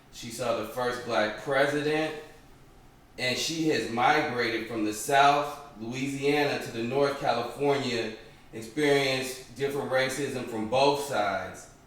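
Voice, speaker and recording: Over noticeable background noise, a man speaks slowly at a medium pitch, his intonation fairly even. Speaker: interviewer, grandson. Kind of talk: interview questions.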